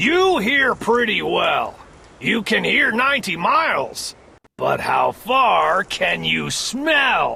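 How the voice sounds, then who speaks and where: A man uses a gruff, put-on character voice at an extremely high pitch. He speaks at a very slow pace. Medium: read story. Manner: gruff, scornful.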